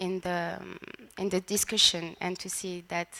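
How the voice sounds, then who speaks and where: A woman with a strong French accent speaks at a fairly slow pace. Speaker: photographer. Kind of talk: panel presentation. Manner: halting, searching for words.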